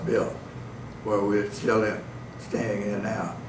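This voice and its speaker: Noticeable background noise accompanies a man as he talks. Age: 80s+. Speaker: centenarian and army veteran. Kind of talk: interview answer. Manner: spry, funny.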